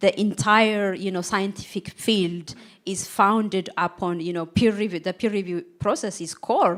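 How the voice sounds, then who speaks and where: Spoken at a fairly slow pace with a non-native accent and ordinary pitch variation, the voice comes through in a very clean recording with a silent background. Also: woman. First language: not English. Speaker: AI auditor on panel. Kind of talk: live panel discussion.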